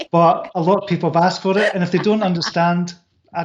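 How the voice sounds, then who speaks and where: A man speaks in a Scottish accent at a very fast pace. His pitch is high. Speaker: author and business coach. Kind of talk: interview. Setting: live online video show.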